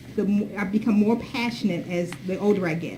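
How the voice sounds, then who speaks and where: A woman talks at a moderate pace with ordinary pitch variation, over noticeable background noise and audible room echo. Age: 60s. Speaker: diversity consultant and advocate. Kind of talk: workshop presentation.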